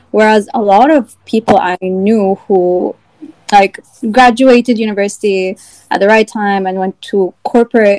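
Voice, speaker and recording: A woman speaks in a normal speaking voice at medium pitch, with fairly even intonation. Her pace is fairly slow, and the sound is dry and close with no echo. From Egypt, partly raised in Virginia, US. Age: 20s. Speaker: small business owner, candle brand founder. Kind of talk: casual chat.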